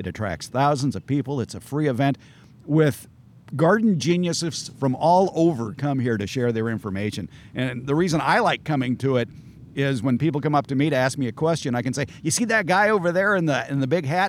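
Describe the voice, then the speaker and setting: This man has an ordinary speaking voice, pitched fairly high. He talks at a fairly quick pace with lively intonation. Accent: American. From Southern California. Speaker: gardening expert and radio host. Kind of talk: interview chat. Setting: outdoors at garden center. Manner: wry, humorous.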